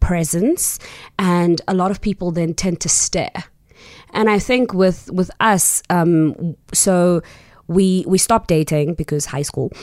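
Speaking at a very slow pace, a woman uses a fairly low pitch and ordinary pitch variation. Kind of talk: interview. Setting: studio.

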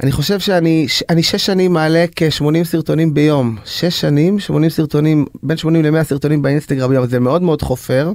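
Against noticeable background noise, a man speaks at a fairly quick pace and fairly high pitch, with very even loudness and hardly any pauses. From Israel, Bnei Brak. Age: 40s. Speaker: singer. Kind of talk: interview. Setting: studio. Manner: animated.

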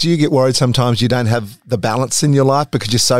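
Talking at a very fast pace with an Australian accent, a man keeps a medium pitch and fairly even intonation. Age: 50s. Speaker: podcast host. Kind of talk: casual interview.

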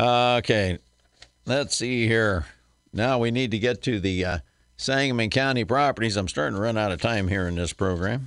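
Speaking with an American accent, a man mumbles at a moderate pace. His pitch sits at a medium level. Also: ordinary pitch variation. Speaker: radio host and real estate broker. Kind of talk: call-in radio show talk. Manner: mumbling and bumbling.

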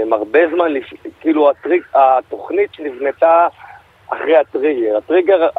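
A man speaks at a fairly slow pace with long, frequent pauses and ordinary pitch variation. Noticeable background noise can be heard. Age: 20s. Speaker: interview guest. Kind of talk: radio interview. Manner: halting.

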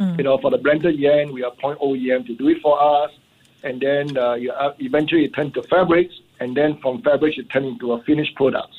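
A man with a plain, everyday voice, a fairly high pitch, ordinary pitch variation and a fairly quick pace. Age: 60s. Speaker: entrepreneur. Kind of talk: radio interview.

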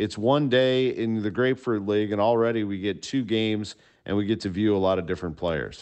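In a normal speaking voice, a man talks at a fairly quick pace with fairly low pitch and ordinary pitch variation. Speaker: sports broadcaster analyst. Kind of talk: sports commentary.

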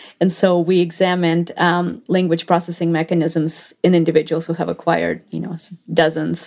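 The voice moves at a moderate pace with hardly any pauses and a monotone, flat intonation. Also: woman, fairly low pitch for a woman. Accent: Russian. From Russia. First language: Russian. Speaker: neuroscientist. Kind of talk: interview.

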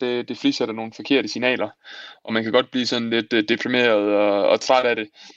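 A man speaks at a medium pitch and a fairly quick pace in a monotone, flat intonation. The sound is dry and close, with no echo. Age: 20s. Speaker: marathon runner. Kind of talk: casual chat.

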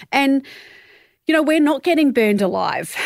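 A woman with an Australian accent speaks in a very clean recording with a silent background. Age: 40s. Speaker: body image activist and filmmaker. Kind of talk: interview conversation.

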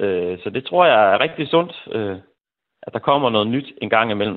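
Moderately paced, a man speaks at a medium pitch. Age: 40s. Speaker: teacher, listener panelist. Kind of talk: radio phone-in discussion. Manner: halting.

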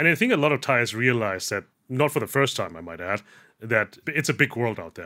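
The voice has a bright, sharp tone, lively intonation and big swings in loudness. It moves at a fairly quick pace in a very clean recording with a silent background. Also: man, medium pitch for a man. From Germany. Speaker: news correspondent. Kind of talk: news interview.

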